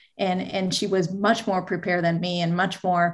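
A woman with a somewhat breathy, fairly low voice speaks at a moderate pace in a monotone, flat way. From Venezuela. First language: Spanish. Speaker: marketing executive. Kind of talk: interview.

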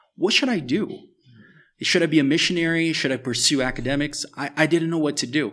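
This man has a normal speaking voice at a fairly high pitch. He talks at a fairly quick pace with ordinary pitch variation. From US, Miami (moved from Brazil at eight). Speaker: author and global health expert. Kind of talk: interview testimony. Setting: at a table in a house in Brazil.

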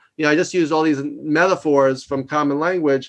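A man with a New York accent and ordinary pitch variation. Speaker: leadership consultant and executive coach. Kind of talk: interview. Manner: loud; fast.

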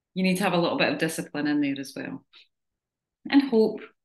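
A woman speaks in a somewhat breathy voice. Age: 40s. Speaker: fitness coach. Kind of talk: group coaching talk. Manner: casual.

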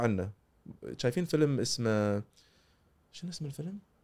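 Lively intonation runs through a man's medium-pitched voice, dark and mellow in tone, with a Kuwaiti accent. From Kuwait, childhood in North America. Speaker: psychiatrist. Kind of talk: casual interview.

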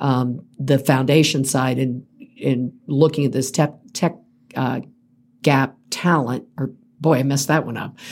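A woman with an American accent speaks at a fairly slow pace, her very deep, low pitch held in fairly even intonation. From Central Florida. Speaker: tech industry association CEO. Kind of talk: interview. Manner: halting, many fillers.

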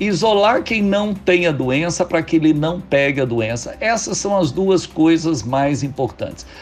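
Music plays in the background as a man speaks at a fairly slow pace. His intonation is lively. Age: 60s. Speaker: physician and health cooperative executive. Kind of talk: radio interview. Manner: hesitant, many filler sounds.

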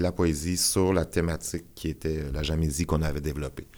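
Speech at a moderate pace on a very clean recording with a silent background. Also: man. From Quebec, Abitibi-Témiscamingue (Rouyn-Noranda). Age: 40s. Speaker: performance artist and musician. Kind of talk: interview.

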